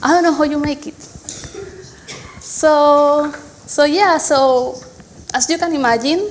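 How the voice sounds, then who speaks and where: In a Spanish accent, the speaker talks at a fairly slow pace with ordinary pitch variation and long, frequent pauses, over noticeable background noise and audible room echo. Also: woman, high pitch for a woman. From Spain. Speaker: software engineer, conference speaker. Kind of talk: conference talk. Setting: stage with audience.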